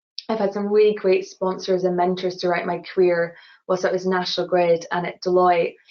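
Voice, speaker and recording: A woman at medium pitch, monotone and flat in intonation, with a Scottish accent. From Scotland, Glasgow. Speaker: engineer. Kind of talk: webinar interview.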